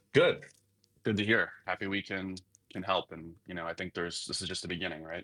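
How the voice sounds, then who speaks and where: This man with an American accent talks at a fairly quick pace, his very deep, low voice carrying a bright, sharp tone. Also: fairly even intonation. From United States. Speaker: crypto company ecosystem lead. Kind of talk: live audio interview. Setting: online audio space.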